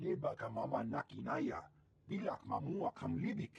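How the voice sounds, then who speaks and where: Here a man performs a put-on character voice. His pace is moderate. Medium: video game. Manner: speaks alien language.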